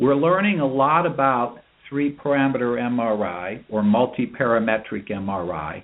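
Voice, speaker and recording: A man with a medium pitch and a plain, everyday voice talks at a moderate pace with lively intonation. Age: 60s. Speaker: urologist. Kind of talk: interview.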